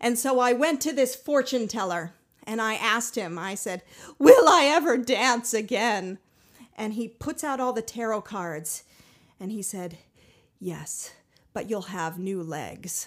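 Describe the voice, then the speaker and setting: The speaker has an American accent, lively intonation and big swings in loudness, moving at a fairly slow pace with long, frequent pauses. The recording is very clean, with a silent background. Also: woman, fairly high pitch for a woman. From Colorado, US. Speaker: puppeteer and puppet builder. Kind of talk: casual interview. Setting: in-person in an apartment.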